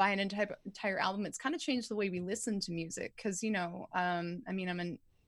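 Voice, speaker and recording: Somewhat breathy and medium-pitched, a woman speaks with an American accent. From Southern California. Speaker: vocal coach. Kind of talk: casual chat with vocal instruction.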